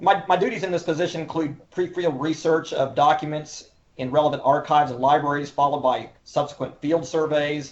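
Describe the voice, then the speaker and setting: Talking at a fairly quick pace with hardly any pauses, a man with an Oklahoma accent keeps a fairly high pitch and fairly even intonation. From Oklahoma, Oklahoma City. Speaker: historian and cultural resource manager. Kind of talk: interview. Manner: formal.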